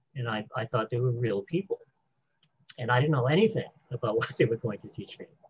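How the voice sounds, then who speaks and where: A man's medium-pitched, somewhat breathy voice rises and falls in an ordinary way. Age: 70s. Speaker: spiritual author. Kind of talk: interview.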